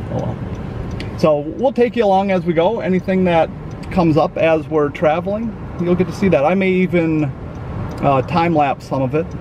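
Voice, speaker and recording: There is noticeable background noise, though the sound is dry with no echo. A man speaks at a moderate pace with ordinary pitch variation. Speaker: vlogger. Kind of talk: casual vlog chat. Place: car. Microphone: phone near.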